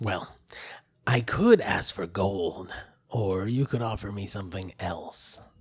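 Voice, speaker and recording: A man speaks in a put-on character voice. His pitch is fairly low and his pace fairly slow. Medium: actual play. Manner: dry, matter-of-fact.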